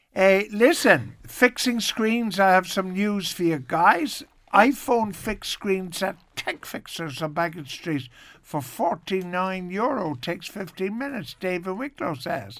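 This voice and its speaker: Speaking with an Irish accent, a man uses a high pitch, lively intonation and a fairly slow pace on a very clean recording with a silent background. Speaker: radio host. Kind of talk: radio chat. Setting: studio. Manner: animated.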